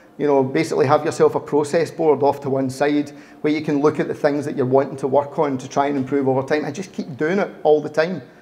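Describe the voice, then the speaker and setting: A man in a Glaswegian accent, fairly high-pitched, at a fairly quick pace. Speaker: agile consultant, speaker. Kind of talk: meetup talk. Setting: meetup with live audience.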